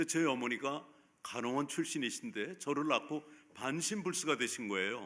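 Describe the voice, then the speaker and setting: Bright and sharp in tone, a man's fairly high-pitched voice moves at a moderate pace with lively intonation. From South Korea, Seoul. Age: 70s. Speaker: pastor. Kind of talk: sermon. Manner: halting.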